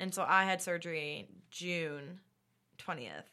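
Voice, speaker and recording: A woman with an American accent has an unremarkable speaking voice. Her pitch is fairly low and her intonation lively. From United States. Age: 20s. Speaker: podcast host. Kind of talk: casual chat.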